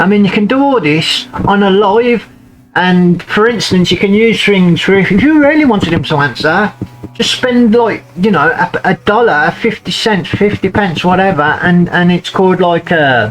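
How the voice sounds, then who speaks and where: A Birmingham accent at a moderate pace, with noticeable background noise. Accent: Brummie. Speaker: YouTube commentator. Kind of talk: casual commentary on screen content. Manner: animated; halting.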